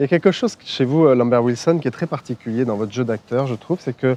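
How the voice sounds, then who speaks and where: This man's voice has a dark, mellow tone, sitting at a medium pitch with ordinary pitch variation. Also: dry, close sound with no echo. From southern France, Nice. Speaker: journalist and TV host. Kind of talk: casual interview. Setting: outdoors. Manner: frequent backchannel interjections.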